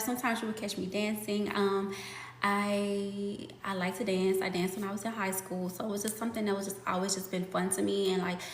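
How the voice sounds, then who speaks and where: A woman talks at a fairly quick pace and a medium pitch, with fairly even intonation. Noticeable background noise and audible room echo surround her. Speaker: fitness content creator. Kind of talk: live stream chat. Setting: live stream. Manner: casual, filler-heavy.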